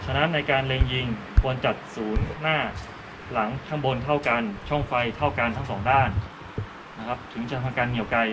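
Noticeable background noise runs under a man's voice. His intonation stays fairly even. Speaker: shooting instructor. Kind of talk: tutorial. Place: open country.

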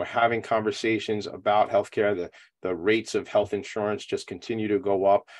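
A man speaks with an American accent against a quiet background. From Long Island, New York; New York. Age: 40s. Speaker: nonprofit talk show host. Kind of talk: casual interview. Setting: video call from home attic. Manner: animated. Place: home room. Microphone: video call.

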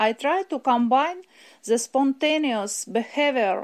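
Someone with a Russian accent speaks at a fairly slow pace with ordinary pitch variation, on a very clean recording with a silent background. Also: woman. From Russia, Moscow. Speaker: ceramic artist. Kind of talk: prepared artist statement.

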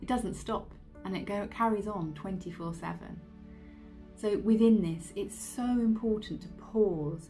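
Faint music sits in the background while a woman talks. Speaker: meditation guide. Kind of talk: casual introduction to meditation. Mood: calm, reassuring. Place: home room. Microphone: phone near.

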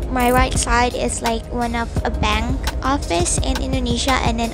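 A woman at a fairly slow pace, dry sound with no echo, and clear music in the background. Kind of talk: casual vlog chat. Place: car. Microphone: phone near.

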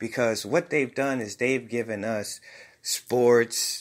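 Speaking very slowly with an American accent, a man keeps his intonation fairly even. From US Midwest (Rockford, Illinois). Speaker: video blogger. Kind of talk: personal tribute monologue. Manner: casual, hesitant with fillers.

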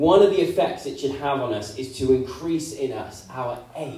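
A man's voice carries audible room echo. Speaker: preacher. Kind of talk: sermon. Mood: earnest, hopeful. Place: church.

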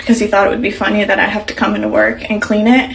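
The woman's intonation stays fairly level as she talks. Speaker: content creator. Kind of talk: casual vlog chat. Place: bathroom. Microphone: phone near.

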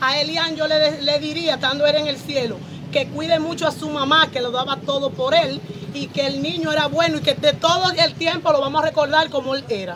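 With clear background noise behind her, a woman talks at a high pitch, a fairly quick pace and fairly even intonation, leaving few pauses.

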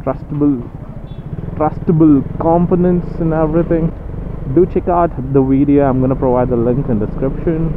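Over noticeable background noise, a man talks at a moderate pace with long, frequent pauses, ordinary pitch variation and very even loudness, in a dry sound with no echo. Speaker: motovlogger. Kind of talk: casual vlog chat. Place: motorbike.

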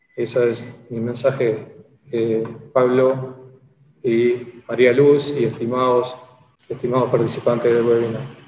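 In a room with audible echo and light background noise, a man speaks very slowly with monotone, flat intonation. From Uruguay. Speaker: social security institute director; webinar panelist. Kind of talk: webinar presentation. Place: office. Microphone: video call.

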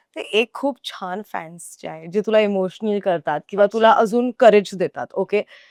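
A woman with an ordinary speaking voice talks at a medium pitch with ordinary pitch variation and big swings in loudness, in a dry, close sound with no echo on a very clean recording with a silent background. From Goa. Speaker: food show host. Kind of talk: casual chat. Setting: restaurant.

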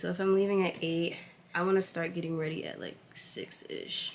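A woman with an American accent, very fast pace and fairly even intonation. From New York City, Staten Island; New York City. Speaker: lifestyle vlogger. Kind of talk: vlog narration. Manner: casual, chatty. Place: home room. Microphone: phone near.

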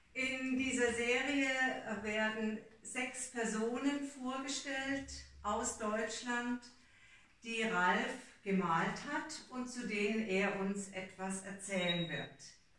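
In a room with audible echo, a woman talks at a very slow pace with ordinary pitch variation. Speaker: language school host. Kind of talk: event announcement. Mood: friendly, welcoming. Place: home room. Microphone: camera far.

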